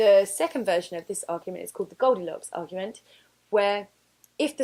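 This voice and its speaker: With an English accent, a woman speaks at medium pitch with ordinary variation. The recording is very clean, and the background is silent. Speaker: religious studies teacher. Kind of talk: revision tutorial. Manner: fast.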